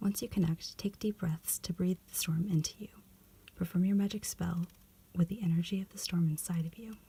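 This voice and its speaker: Quiet, soft voice moving along fairly quickly. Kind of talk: reading instructions aloud. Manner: soft-spoken.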